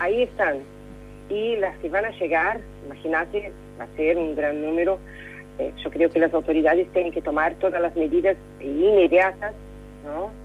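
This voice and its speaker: With music in the background, a woman speaks with long, frequent pauses. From Brazil. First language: Portuguese (speaking Spanish). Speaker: correspondent. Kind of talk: radio interview. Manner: halting, many fillers.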